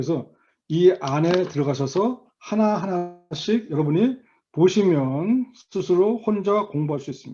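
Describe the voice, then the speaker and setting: A man's high-pitched voice with a dark, mellow tone, lively intonation and a fairly slow pace. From Korea. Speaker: volunteer tax instructor. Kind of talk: online lecture. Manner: halting, frequent fillers.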